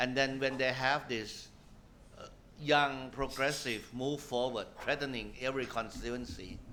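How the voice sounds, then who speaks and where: Heard with audible room echo, a man speaks at a fairly slow pace in a bright, sharp tone with monotone, flat intonation. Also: medium pitch for a man. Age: 60s. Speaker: politician. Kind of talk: panel discussion.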